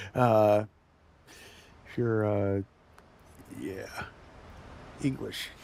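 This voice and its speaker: This man speaks with a Northeastern Pennsylvania accent. His tone is dark and mellow. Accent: Northeast Pennsylvania coal region. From Northeast Pennsylvania.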